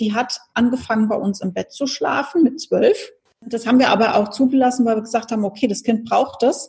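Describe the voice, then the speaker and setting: A woman at a fairly high pitch with ordinary pitch variation, music in the background. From Hesse, Germany (Wiesbaden). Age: 40s. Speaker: speaker trainer and parent. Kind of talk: interview, personal story.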